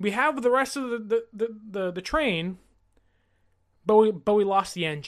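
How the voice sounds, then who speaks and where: An animated man with a high pitch and lively intonation, over a quiet background. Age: 20s. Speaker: sports podcast host. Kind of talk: solo podcast commentary.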